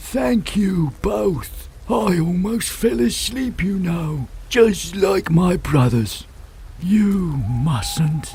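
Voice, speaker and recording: A put-on character voice at a very slow pace, with clear noise behind it. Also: man, high pitch for a man. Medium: machinima. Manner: drawn-out, slow.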